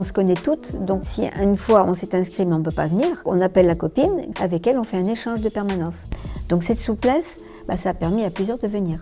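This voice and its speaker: Music plays behind a woman who talks at a fairly quick pace, her medium pitch showing ordinary pitch variation. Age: 70s. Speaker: volunteer public letter writer. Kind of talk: interview testimony. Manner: hesitant, with filler sounds.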